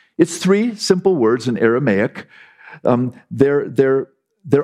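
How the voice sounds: Over quiet surroundings, someone reads in a natural voice, the intonation lively.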